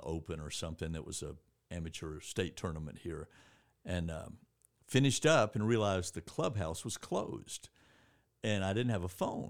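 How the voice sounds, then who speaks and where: Recorded very cleanly with a silent background, a man with a Southern US accent speaks in a very deep, low voice. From Georgia, US (East Point, near Atlanta). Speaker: newspaper editor and former sports writer. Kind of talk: casual chat.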